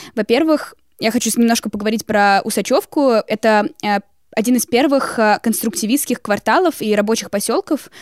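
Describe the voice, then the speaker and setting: A woman talks at a moderate pace in a fairly high pitch, with ordinary pitch variation, in a normal speaking voice. The sound is dry and close with no echo, on a very clean recording with a silent background. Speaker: student podcaster. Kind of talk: casual discussion of old newspapers.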